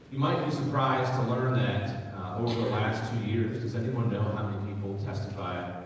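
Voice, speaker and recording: Delivered at a fairly quick pace, the speech carries a strong room echo over light background noise. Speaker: county executive. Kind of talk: town hall speech. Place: hall.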